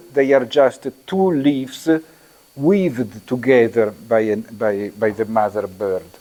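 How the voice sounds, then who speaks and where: Here is a man with an Italian accent and a dark, mellow tone. He speaks at a fairly slow pace. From Italy. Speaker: architecture lecturer. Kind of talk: lecture. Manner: halting, many fillers.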